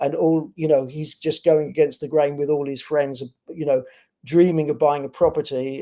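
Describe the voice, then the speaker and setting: Fairly high-pitched, a man speaks in a British accent with a dark, mellow tone. His intonation is monotone and flat. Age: 60s. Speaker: bitcoin company executive. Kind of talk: interview. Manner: halting.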